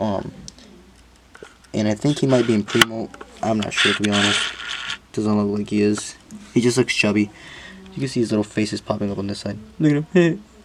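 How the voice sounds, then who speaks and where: A man's speech is broken by long, frequent pauses, with noticeable background noise behind him. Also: ordinary pitch variation. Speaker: exotic pet keeper and video creator. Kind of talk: casual vlog talk to camera. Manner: halting, with many fillers and repetitions.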